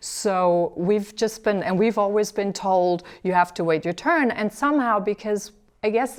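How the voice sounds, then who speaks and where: A woman talks at a fairly slow pace with ordinary pitch variation. She has an ordinary speaking voice. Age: 40s. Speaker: TV talk show host. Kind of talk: interview.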